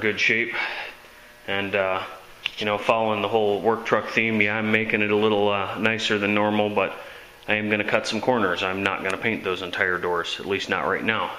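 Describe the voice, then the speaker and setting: A man speaks at a fairly low pitch. Room echo is audible, and there is noticeable background noise. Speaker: auto body hobbyist. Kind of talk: casual video tutorial.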